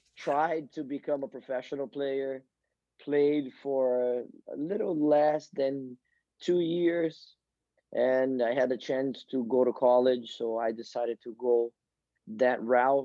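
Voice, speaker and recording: With a strong Brazilian accent, a man speaks very slowly at a medium pitch, his intonation fairly even. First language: Portuguese. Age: 40s. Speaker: soccer coach. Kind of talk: podcast interview. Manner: halting, repeats words.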